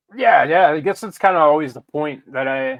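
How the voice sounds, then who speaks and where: With music playing behind him, a man with a Pittsburgh accent speaks at a fairly high pitch with ordinary pitch variation. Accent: Pittsburgh Yinzer. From Pittsburgh, Pennsylvania. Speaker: paranormal podcaster. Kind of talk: casual chat.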